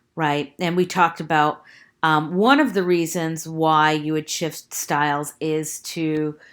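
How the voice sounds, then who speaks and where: A woman with an American accent speaks in a very deep, low pitch with fairly even intonation. The recording is very clean, with a silent background. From New York / New Jersey. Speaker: college English teacher. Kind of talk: recorded lecture. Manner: casual, filler-heavy with frequent 'right?'.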